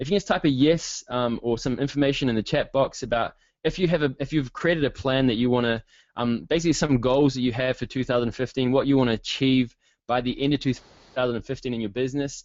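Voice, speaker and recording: In a New Zealand accent, a man of medium pitch talks at a very fast pace with ordinary pitch variation. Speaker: online marketing coach. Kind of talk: webinar presentation. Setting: online webinar. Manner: hesitant with many fillers.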